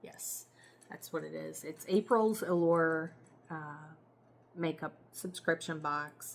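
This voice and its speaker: Speaking with monotone, flat intonation, a woman uses a fairly low pitch. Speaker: beauty vlogger. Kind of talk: casual product review. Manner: slow; hesitant, many fillers.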